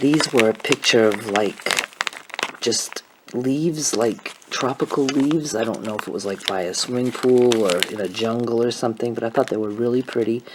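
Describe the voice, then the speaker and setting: Soft-spoken and at a moderate pace, the speaker talks with ordinary pitch variation and hardly any pauses over noticeable background noise. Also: woman, very deep, low pitch for a woman. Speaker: craft vlogger who makes and sells paper beads. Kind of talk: casual talk to camera, quiet vlog. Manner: quiet, soft-spoken.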